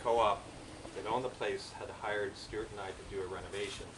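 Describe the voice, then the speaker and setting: A man speaks at a moderate pace with a Canadian accent. There is noticeable background noise and audible room echo. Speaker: eulogist at a memorial. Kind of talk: memorial speech. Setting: memorial gathering. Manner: talkative.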